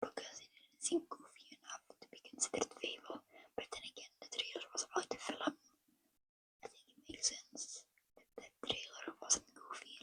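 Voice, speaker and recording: Someone whispering at a moderate pace. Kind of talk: casual talk to camera, lo-fi ASMR chat. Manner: whispered.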